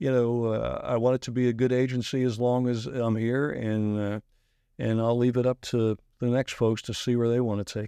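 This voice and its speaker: Here a man talks in a dark, mellow tone with monotone, flat intonation. The background is quiet. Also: medium pitch for a man, moderate pace. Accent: American. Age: 60s. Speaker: insurance agency president. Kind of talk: interview. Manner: halting, many fillers.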